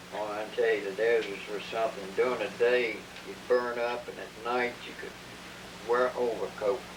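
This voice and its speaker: A man talks at a moderate pace and medium pitch, his intonation monotone and flat, with long, frequent pauses. His loudness swings a lot, and noticeable background noise sits underneath. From Kentucky. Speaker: war veteran. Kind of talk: personal war memoir recording. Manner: storytelling, humble.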